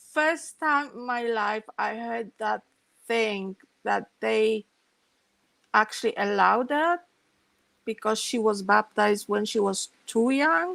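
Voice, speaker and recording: At a very slow pace with long, frequent pauses, a woman with a Polish accent speaks at a fairly high pitch, the sound dry and close with no echo. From Poland. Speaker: former Jehovah's Witness telling her story. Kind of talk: interview, personal testimony.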